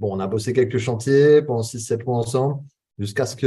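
Somewhat breathy, with a dark, mellow tone, a man's medium-pitched voice moves at a moderate pace. His intonation is fairly even. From western France (Charente-Maritime). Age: 30s. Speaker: entrepreneur and business coach. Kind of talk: casual interview. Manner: hesitant, many fillers.

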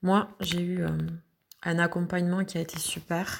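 Somewhat breathy speech at a fairly slow pace. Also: woman. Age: 40s. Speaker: mother recovering from anorexia. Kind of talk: testimony.

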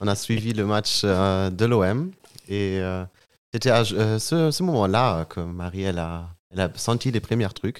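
A man speaking very slowly in a German accent, with fairly low pitch and ordinary pitch variation. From Germany (Münster). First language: German (speaking French). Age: 20s. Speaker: young father, podcast guest. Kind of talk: personal testimony in casual interview. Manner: halting, searching for words.

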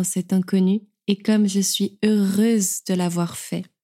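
In a very clean recording with a silent background, a woman speaks very slowly in a medium pitch, her somewhat breathy voice dark and mellow, her intonation flat and monotone, the sound dry and close with no echo. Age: 20s. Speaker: podcast host and writer. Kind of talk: scripted narration. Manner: warm, gentle.

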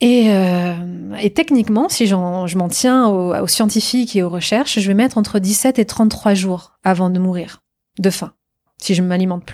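Dark and mellow in tone, a woman's medium-pitched voice moves at a fairly slow pace with ordinary pitch variation. The recording is very clean, with a silent background. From France, Normandy. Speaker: tech entrepreneur. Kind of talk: interview.

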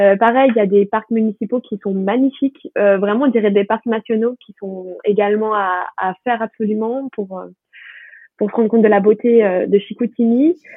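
Moderate pace and fairly high pitch from a woman speaking. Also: fairly even intonation. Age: 20s. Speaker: student. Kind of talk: casual chat. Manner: halting. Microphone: poor sound quality.

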